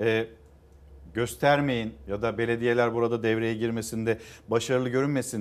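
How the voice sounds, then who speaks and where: The man speaks at a moderate pace. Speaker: morning news TV host. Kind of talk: morning news show. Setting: TV studio. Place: studio. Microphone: lapel.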